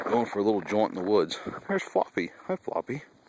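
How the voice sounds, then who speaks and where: Noticeable background noise runs behind a man speaking. His pitch is fairly low, and the sound is dry and close, with no echo. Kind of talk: casual talk to animals while filming. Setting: outdoors.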